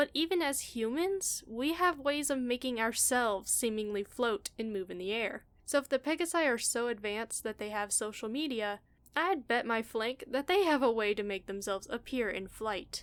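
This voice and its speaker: Lively in intonation, a high-pitched woman talks at a moderate pace. The recording is very clean with a silent background. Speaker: fan commentary YouTuber. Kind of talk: casual talk to camera. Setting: home recording, no pop filter.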